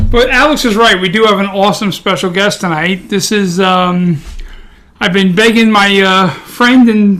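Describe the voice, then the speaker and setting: A high-pitched man with a bright, sharp tone at a moderate pace. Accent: Brooklyn. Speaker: podcast co-host, martial artist. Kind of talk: casual chat.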